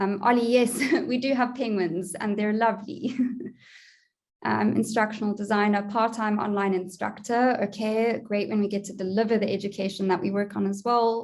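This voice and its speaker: This woman has a fairly high pitch and a monotone, flat delivery in a South African accent. Room echo can be heard. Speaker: online education consultant, conference speaker. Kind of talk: conference presentation.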